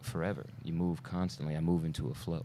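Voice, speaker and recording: A man with an American accent speaks at a fairly quick pace, his very deep, low pitch carrying a dark, mellow tone. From Brooklyn, New York. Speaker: stuntman. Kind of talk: casual chat.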